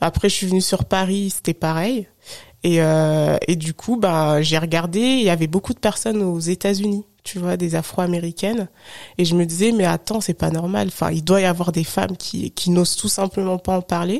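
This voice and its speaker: With a normal speaking voice, a woman talks at a moderate pace in a fairly low pitch with ordinary pitch variation, the sound dry and close with no echo. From France, Haute-Savoie. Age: 30s. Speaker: digital consultant and podcaster. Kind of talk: interview.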